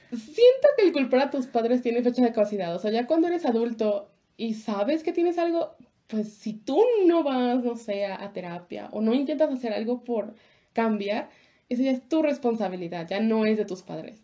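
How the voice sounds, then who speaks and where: Speech unfolds at a moderate pace. Intonation is lively over a dark, mellow tone. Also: woman, fairly high pitch for a woman. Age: 20s. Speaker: podcast co-host. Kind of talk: casual chat.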